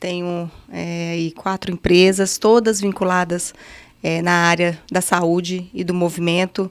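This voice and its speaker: Monotone, flat intonation runs through the speech. It moves at a fairly slow pace in a Minas Gerais accent. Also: woman, fairly low pitch for a woman. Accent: Minas Gerais (mineiro). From Brazil, Minas Gerais (Patos de Minas). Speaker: physical education professional. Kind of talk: casual chat.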